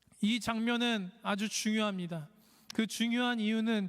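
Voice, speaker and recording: A very slow delivery, very clean recording and silent background. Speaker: preacher. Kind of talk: sermon. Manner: halting, frequent self-corrections.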